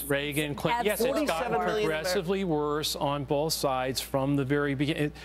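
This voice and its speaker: Music in the background behind a man's fairly high voice, lively in intonation, at a moderate pace with hardly any pauses and very even loudness. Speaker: political commentator. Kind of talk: TV panel discussion.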